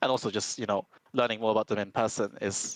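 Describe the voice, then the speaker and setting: The man's voice sits fairly low with monotone, flat intonation. The sound is dry and close, with no echo. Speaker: esports player, team shot caller. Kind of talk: post-game interview. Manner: fast.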